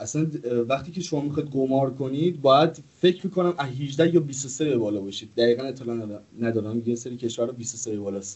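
Here a man talks at a very fast pace with a medium pitch. His somewhat breathy voice has ordinary pitch variation. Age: 20s. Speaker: gaming streamer. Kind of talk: casual chat.

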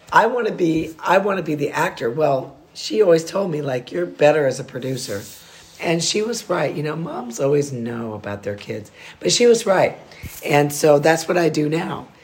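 A woman's very deep, low voice with very wide pitch swings at a moderate pace, over noticeable background noise. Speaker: host's wife. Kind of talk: casual chat. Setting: at home.

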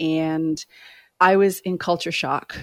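A woman with an American accent and an ordinary speaking voice, fairly low in pitch with fairly even intonation, in a very clean recording with a silent background. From Maine, US. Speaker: business executive and career coach. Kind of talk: interview.

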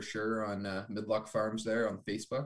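Heard on a very clean recording with a silent background, a man with a normal speaking voice and a Canadian accent talks at a moderate pace with fairly even intonation. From Ontario, Canada. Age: 20s. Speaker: agriculture student and farmer. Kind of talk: casual interview chat.

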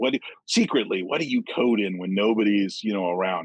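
A man with an American accent speaks fairly quickly in an unremarkable speaking voice with ordinary pitch variation. The sound is dry and close, with no echo. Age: 50s. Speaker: software developer and author. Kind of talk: casual chat.

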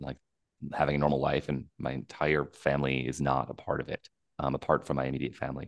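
A man speaks at a fairly quick pace in a very deep, low voice with vocal fry, the sound dry and close with no echo. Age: 40s. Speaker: documentary filmmaker. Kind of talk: interview.

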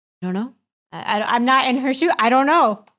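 A woman talks at a very fast pace in an American accent, with ordinary pitch variation. The recording is very clean, with a silent background. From US, Kentucky and New York. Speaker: podcast guest. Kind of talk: casual chat. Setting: studio.

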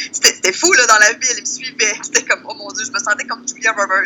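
A woman with a high-pitched voice against noticeable background noise. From Quebec, Lac-Saint-Jean (Saint-Félicien). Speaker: travel columnist and blogger. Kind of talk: casual interview.

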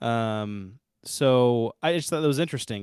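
Recorded very cleanly with a silent background and a dry, close sound with no echo, a man with an unremarkable speaking voice talks at a moderate pace, medium in pitch with ordinary pitch variation. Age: 30s. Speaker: podcast co-host. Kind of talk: casual chat.

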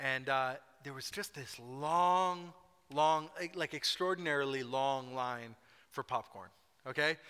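Here a man speaks at a fairly slow pace, his fairly high voice bright and sharp in tone, with ordinary pitch variation. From Scotland. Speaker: pastor. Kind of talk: sermon. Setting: church. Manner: animated.

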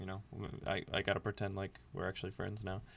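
Recorded very cleanly against a silent background, a man with an American accent speaks at a fairly low pitch. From US, with childhood in Libya. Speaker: podcast co-host. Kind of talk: casual chat. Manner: animated.

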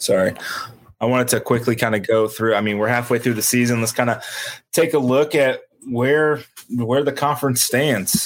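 In a very clean recording with a silent background, a man speaks at medium pitch with fairly even intonation. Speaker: podcast host. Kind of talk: casual sports podcast chat.

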